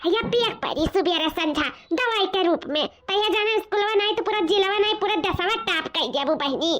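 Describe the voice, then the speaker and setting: A woman puts on a cartoonish character voice pitched extremely high, holding a moderate pace, ordinary pitch variation and very even loudness. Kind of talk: comic rural cartoon acting. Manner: sweet-talking, scheming.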